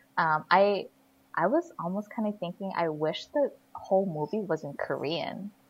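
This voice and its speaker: With an American accent, a woman speaks in an unremarkable speaking voice at medium pitch and a moderate pace, her intonation lively. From US West Coast, Northern California. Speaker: podcast co-host, film reviewer. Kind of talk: casual chat. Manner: heavy use of fillers like 'like' and 'you know'.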